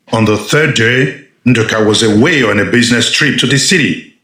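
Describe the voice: The voice has a fairly bright tone and ordinary pitch variation, heard with strong room echo. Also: man, medium pitch for a man, moderate pace.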